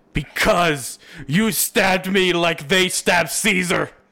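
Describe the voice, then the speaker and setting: A man's raspy, high put-on character voice at a fairly slow pace, with music in the background. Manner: put-on voice, melodramatic.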